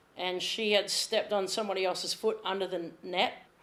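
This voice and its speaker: With a strong Australian accent, a woman speaks at a medium pitch with fairly even intonation. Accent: Australian, strong enough to be misheard. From Australia, Sydney. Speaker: athletic trainer. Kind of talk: casual chat.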